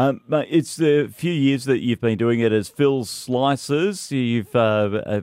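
A man with an Australian accent. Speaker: radio host. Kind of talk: casual radio chat. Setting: radio studio.

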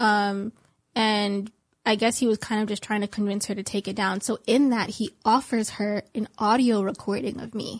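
In a normal speaking voice, a woman talks at a moderate pace with a fairly high pitch and fairly even intonation against a quiet background. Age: 20s. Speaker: guest speaking out about a legal case. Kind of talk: interview.

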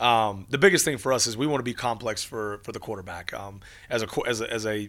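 In a very clean recording with a silent background, a man with an American accent speaks fairly quickly at a medium pitch. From Texas. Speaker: college football head coach. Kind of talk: casual interview. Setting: in-person studio interview. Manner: animated, many repeated words.

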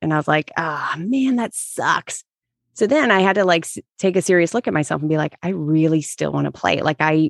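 Against a quiet background, a woman speaks at a fairly low pitch in a dry, close sound with no echo. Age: 40s. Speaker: meditation podcaster. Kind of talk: casual chat. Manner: halting.

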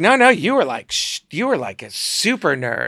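A man's put-on character voice, high-pitched, with very wide pitch swings and a very slow pace. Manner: campy, gushing.

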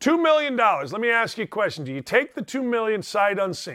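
An animated tone with very wide pitch swings at a very fast pace. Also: man. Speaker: sports radio host. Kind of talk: casual chat. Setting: studio.

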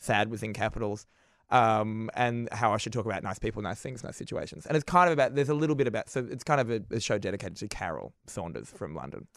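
A man's medium-pitched voice at a very fast pace with lively intonation, on a very clean recording with a silent background. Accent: Australian. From Australia. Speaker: comedian. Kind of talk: casual chat. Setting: studio.

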